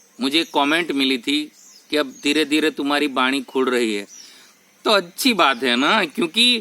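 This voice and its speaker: A man with a Gujarati accent and a fairly high pitch, making very wide pitch swings amid noticeable background noise. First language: Gujarati (speaking Hindi). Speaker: spiritual YouTuber. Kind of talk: spiritual talk to camera. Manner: halting, with self-corrections.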